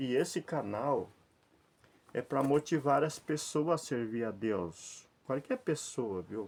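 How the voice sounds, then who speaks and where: Speaking very slowly, a man with a fairly high voice uses lively intonation, recorded very cleanly against a silent background. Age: 60s. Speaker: lay preacher. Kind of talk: informal sermon to camera. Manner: repetitive, conversational.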